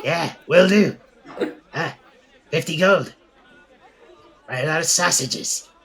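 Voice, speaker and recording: A man does a raspy, put-on character voice at a high pitch with ordinary pitch variation. He goes at a fairly slow pace with long, frequent pauses. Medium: actual play. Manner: jittery, broken clipped speech.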